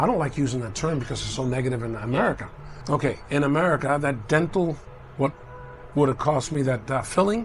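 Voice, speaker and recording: A man speaks very fast in a fairly high voice for a man, with ordinary pitch variation. Noticeable background noise sits behind him. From Cuba. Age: 60s. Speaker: traveler. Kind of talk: casual chat. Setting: restaurant.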